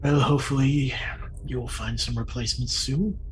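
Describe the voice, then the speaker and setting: Someone performs a put-on character voice at a moderate pace. Clear background noise is present. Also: man. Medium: actual play. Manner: grave, measured.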